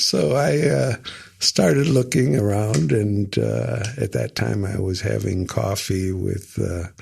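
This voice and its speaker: The speaker talks at a very slow pace with an American accent. The voice is somewhat breathy and swings very widely in pitch. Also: man. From US Midwest, Rockford, Illinois. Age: 70s. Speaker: Meals on Wheels volunteer. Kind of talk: interview. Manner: hesitant, many fillers.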